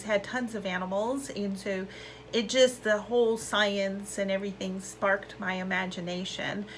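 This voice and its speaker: Noticeable background noise surrounds a woman of medium pitch who speaks at a moderate pace with an American accent. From US West Coast, South Bay, Los Angeles area. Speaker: school alumna speaker, scientist. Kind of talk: personal testimony talk. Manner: casual with frequent fillers.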